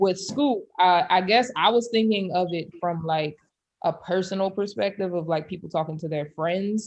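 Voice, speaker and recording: A woman with an American accent and an unremarkable speaking voice talks at a moderate pace and a medium pitch. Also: ordinary pitch variation. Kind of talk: casual chat.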